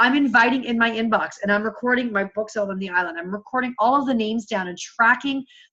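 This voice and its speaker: Loud and very fast, a woman with a fairly high pitch talks in a bright, sharp tone with ordinary pitch variation. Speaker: fitness coach leading team call. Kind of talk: team coaching call. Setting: home video recording.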